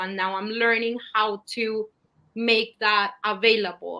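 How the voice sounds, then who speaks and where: A woman speaks in a fairly high pitch with a Spanish accent. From Latin America. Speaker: scientist. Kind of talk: panel interview.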